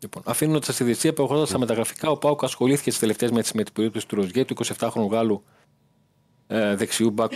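Here a man talks at a fairly quick pace, his pitch medium with ordinary variation. He has a normal speaking voice. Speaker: football reporter. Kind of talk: sports report by phone.

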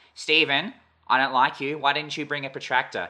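In a put-on character voice, a man talks fairly quickly with a nasal, fairly high pitch and fairly even intonation. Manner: condescending, snooty.

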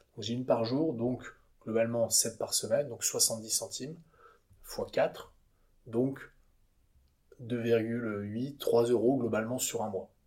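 A man with a medium pitch and a dark, mellow tone speaks at a very slow pace. His intonation stays fairly even, broken by long, frequent pauses. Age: 30s. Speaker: entrepreneur, company co-founder. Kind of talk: interview conversation. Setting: company offices. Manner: halting, many repetitions and fillers.

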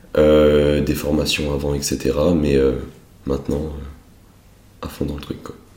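A man with a very deep, low pitch speaks in a monotone, flat way at a very slow pace, with long, frequent pauses. Noticeable background noise and audible room echo fill the recording. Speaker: wealth management advisor, entrepreneur. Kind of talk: casual interview.

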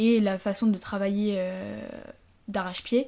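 Her voice is somewhat breathy, with a dark, mellow tone. This woman speaks at medium pitch with fairly even intonation. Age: 20s. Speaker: former business-school prep student. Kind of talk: casual chat.

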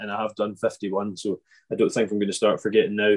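The speaker is a man with a Scottish island accent. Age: 20s. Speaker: podcast host. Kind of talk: casual interview chat. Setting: video call.

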